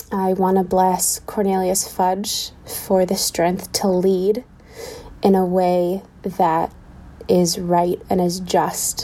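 With noticeable background noise behind her, a woman of medium pitch speaks at a very slow pace in a monotone, flat tone and at a very even loudness. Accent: American. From Pittsburgh, US. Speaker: listener leaving a voicemail. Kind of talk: voicemail message. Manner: halting, with many fillers.

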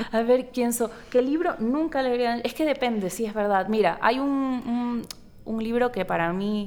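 A woman with a high pitch talks at a fairly slow pace with ordinary pitch variation, against noticeable background noise. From Ecuador, Guayaquil (coast). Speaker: novelist. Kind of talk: interview conversation. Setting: book fair.

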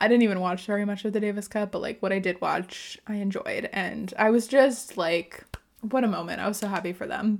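At a fairly quick pace, a woman with an American accent talks in a medium pitch with fairly even intonation. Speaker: tennis podcast co-host. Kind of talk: casual chat.

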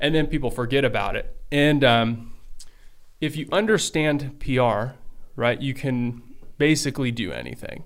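At a moderate pace, a man talks in a normal speaking voice with fairly high pitch and ordinary pitch variation. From Belgium, raised in US from age five. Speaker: podcast co-host. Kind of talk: casual chat.

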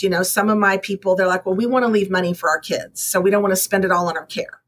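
With a Texan accent, a woman speaks at a medium pitch with fairly even intonation. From Texas. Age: 50s. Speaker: realtor. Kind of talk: interview.

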